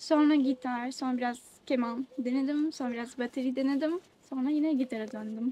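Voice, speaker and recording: A woman's high voice with a dark, mellow tone, fairly even intonation and a moderate pace. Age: 20s. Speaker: musician. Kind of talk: interview. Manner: hesitant.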